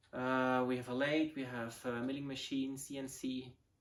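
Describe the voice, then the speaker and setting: A man with a Swiss German accent speaks at a medium pitch. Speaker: model rocket hobbyist. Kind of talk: casual video intro. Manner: halting, many fillers.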